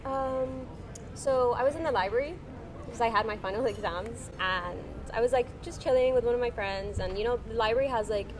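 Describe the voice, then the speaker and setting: Music in the background and audible room echo accompany a woman with an American accent at a fairly high pitch. She talks at a fairly quick pace in an animated tone with ordinary pitch variation. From Oman, international school. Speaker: law student, interview guest. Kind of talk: casual chat. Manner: animated, many fillers.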